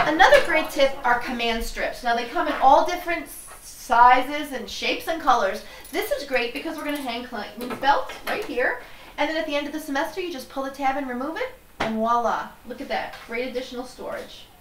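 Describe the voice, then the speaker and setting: Speaking at a fairly quick pace, a woman with a high pitch is heard over noticeable background noise. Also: ordinary pitch variation. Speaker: professional organizer host. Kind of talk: tutorial. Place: home room.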